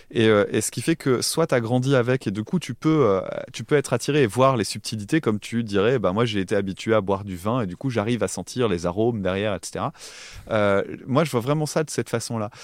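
A man speaks fairly quickly. His medium pitch shows ordinary variation. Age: 30s. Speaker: music podcaster. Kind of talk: casual chat. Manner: halting.

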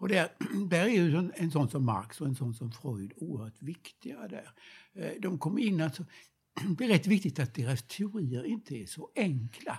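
Fairly high in pitch, a man's voice swings very widely up and down. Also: fairly slow pace. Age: old. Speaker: retired professor of history of ideas. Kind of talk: reflective conversation. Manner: halting.

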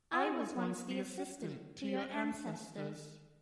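A put-on character voice with a very deep, low pitch rings out with clear echo. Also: moderate pace.

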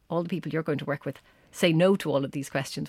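A woman with an Irish accent speaks at a very fast pace and very deep, low pitch, with ordinary pitch variation, on a very clean recording with a silent background and a dry, close sound with no echo. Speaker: exercise science lecturer. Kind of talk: interview.

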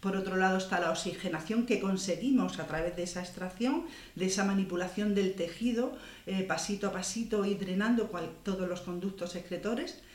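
Over noticeable background noise and audible room echo, a woman talks at a medium pitch with ordinary pitch variation. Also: fairly quick pace. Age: 60s. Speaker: beauty salon owner and skincare expert. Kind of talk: interview. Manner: halting.

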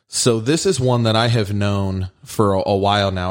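A man's plain, everyday voice, fairly low in pitch, with fairly even intonation. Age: 30s. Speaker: podcast host. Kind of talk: casual chat.

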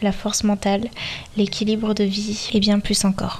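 Over noticeable background noise, a woman speaks at a moderate pace with a medium pitch and a flat, monotone delivery. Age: 20s. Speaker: podcast host, dance teacher. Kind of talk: solo podcast monologue.

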